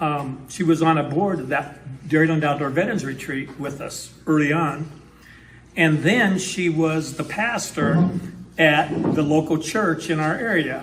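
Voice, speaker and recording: Heard with audible room echo, a man with an American accent speaks fairly slowly at a fairly high pitch. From northwestern Wisconsin. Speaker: historical society historian and event host. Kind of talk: event introduction. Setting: town hall meeting with audience. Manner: halting, many fillers.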